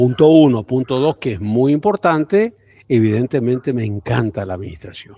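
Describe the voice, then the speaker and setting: With lively intonation, a man talks at a moderate pace in an ordinary speaking voice of medium pitch. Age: 60s. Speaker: university professor. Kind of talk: lecture. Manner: informal, conversational.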